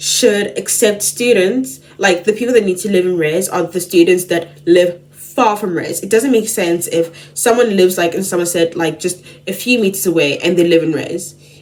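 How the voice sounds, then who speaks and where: Over noticeable background noise, a woman of medium pitch talks at a moderate pace with ordinary pitch variation and hardly any pauses. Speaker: student vlogger. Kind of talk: casual vlog talk. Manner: chatty, filler-heavy.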